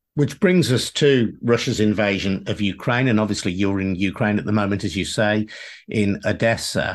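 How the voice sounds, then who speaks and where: A fairly low-pitched man speaks in a British accent at a moderate pace. His pitch variation is ordinary, and the background is quiet. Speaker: podcast host. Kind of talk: interview.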